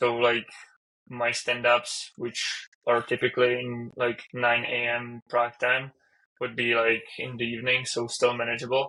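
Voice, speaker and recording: With a Czech accent, a man speaks fairly slowly at a medium pitch in a bright, sharp tone with monotone, flat intonation. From Czech Republic. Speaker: software engineer. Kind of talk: casual chat.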